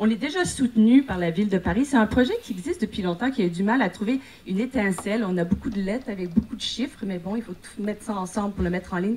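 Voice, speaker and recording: Noticeable background noise sits behind a woman talking at a very fast pace. Her pitch is fairly high, with ordinary variation. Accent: Quebec. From Quebec. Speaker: actress and producer pitching a project. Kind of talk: conference project pitch. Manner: halting, many hesitations.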